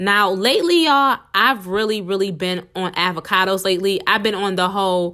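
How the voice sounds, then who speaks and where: A woman speaks at a medium pitch with a bright, sharp tone. Her delivery is animated. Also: very clean recording, silent background. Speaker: podcast host. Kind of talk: casual solo podcast talk. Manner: fast.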